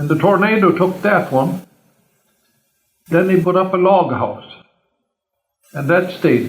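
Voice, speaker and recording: With a Norwegian accent, a man talks at a fairly slow pace. His pitch is fairly high and varies in an ordinary way. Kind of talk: family oral history recollection. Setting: home recording.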